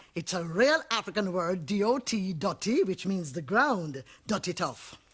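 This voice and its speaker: Speaking with a Jamaican accent at a fairly slow pace, a woman uses a medium pitch with very wide swings and a somewhat breathy quality. The recording is very clean, with a silent background. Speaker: poet. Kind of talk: interview answer.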